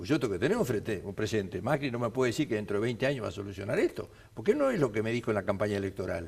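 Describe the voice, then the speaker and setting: Somewhat breathy, a man at a medium pitch talks at a very fast pace with ordinary pitch variation. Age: 70s. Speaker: TV talk show host. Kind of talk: televised panel debate. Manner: animated.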